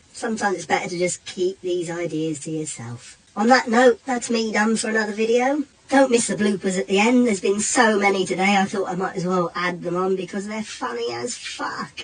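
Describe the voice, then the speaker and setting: A woman speaks with an English accent at a fairly quick pace, with hardly any pauses, over noticeable background noise. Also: medium pitch for a woman, lively intonation. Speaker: reaction youtuber. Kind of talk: casual reaction commentary.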